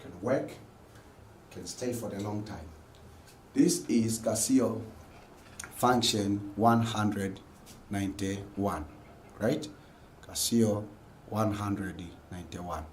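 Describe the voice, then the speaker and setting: Speaking at a very slow pace with long, frequent pauses, a man with a fairly low pitch and ordinary pitch variation is heard amid audible room echo. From Tanzania. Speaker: lecturer. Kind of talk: lecture. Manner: repetitive.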